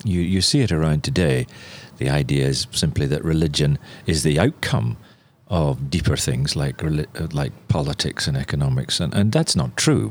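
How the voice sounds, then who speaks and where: This man has a very deep, low voice with vocal fry, a Northern Irish accent, ordinary pitch variation and a moderate pace. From Northern Ireland. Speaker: missionary and journalist. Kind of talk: interview.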